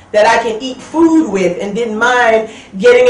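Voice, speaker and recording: The speaker has an American accent. Noticeable background noise is present. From Brooklyn, New York. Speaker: military veteran. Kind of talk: testimony.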